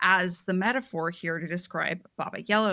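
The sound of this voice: A reading voice, unforced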